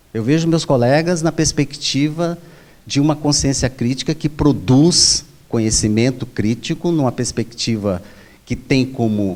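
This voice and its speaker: Using a normal speaking voice, a man speaks at a fairly slow pace with lively intonation. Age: 60s. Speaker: professor and union election candidate. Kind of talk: debate. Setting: auditorium with microphone, recorded debate.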